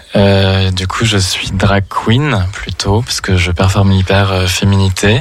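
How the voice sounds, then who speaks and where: Noticeable background noise sits behind a man's voice. He has a fairly low pitch and talks at a very slow pace. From Saint-Étienne, France. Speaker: drag queen. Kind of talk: radio interview.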